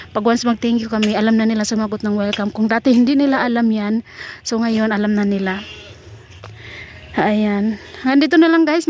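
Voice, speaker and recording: With noticeable background noise behind her, a woman talks very fast at a fairly high pitch with fairly even intonation. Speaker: gardening vlogger. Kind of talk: casual vlog narration. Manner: loud.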